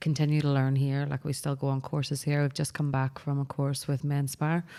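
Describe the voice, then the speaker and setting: A woman with a Northern Irish accent speaks at a fairly quick pace in a very deep, low pitch with a dark, mellow tone. Her intonation is monotone and flat, her loudness very even, and the recording very clean with a silent background. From Northern Ireland, Belfast. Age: 30s. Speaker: barbershop owner. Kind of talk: casual chat.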